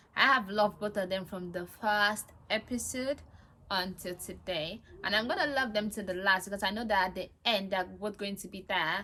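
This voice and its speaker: A woman's animated, bright, sharp tone sits at a medium pitch with ordinary pitch variation. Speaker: reality TV reviewer. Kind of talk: casual monologue review. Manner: fast.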